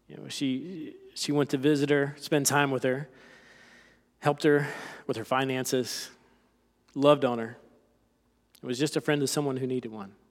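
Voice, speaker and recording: A man with a slight South Carolina accent talks at a fairly high pitch, with big swings in loudness and long, frequent pauses, on a very clean recording with a silent background. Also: moderate pace. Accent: slight Southern (South Carolina). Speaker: lay preacher. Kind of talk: sermon. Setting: church.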